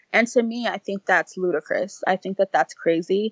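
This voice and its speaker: This woman talks at a moderate pace with fairly even intonation in a normal speaking voice. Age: 30s. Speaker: single mother and blogger. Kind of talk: interview.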